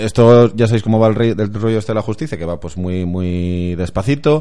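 A man's fairly low, dark and mellow voice with ordinary pitch variation. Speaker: football podcast co-host. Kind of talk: casual chat.

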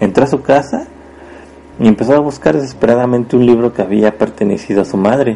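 Over noticeable background noise, a man speaks at a very fast pace. His pitch is medium, and he has a central Mexican accent. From Mexico, Puebla. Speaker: podcast host and storyteller. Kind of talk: storytelling narration. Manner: hesitant, many fillers.

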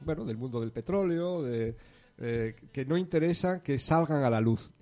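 Speaking with a peninsular Spanish accent, a man has a dark, mellow tone and a fairly high pitch. His pace is moderate, with ordinary pitch variation. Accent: peninsular Spanish, noticeable. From Asturias, Spain. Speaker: organic farm project founder. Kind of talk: interview.

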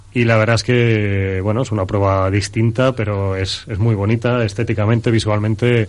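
A man talks at a moderate pace with hardly any pauses, his fairly low voice monotone and flat. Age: middle-aged. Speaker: running pundit. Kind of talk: radio chat.

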